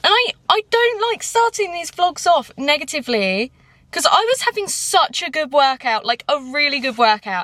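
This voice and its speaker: Speaking at a moderate pace in a southern English accent, a woman has a bright, sharp, animated tone and very wide pitch swings. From southern England. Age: 20s. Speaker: vlogger and dance teacher. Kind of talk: casual vlog talk to camera. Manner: chatty, animated.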